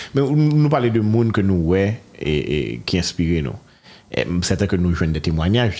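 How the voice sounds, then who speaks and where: A man with a very deep, low pitch and a dark, mellow tone speaks at a fairly slow pace with hardly any pauses, his pitch swinging very widely. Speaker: talk show host. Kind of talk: interview. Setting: studio.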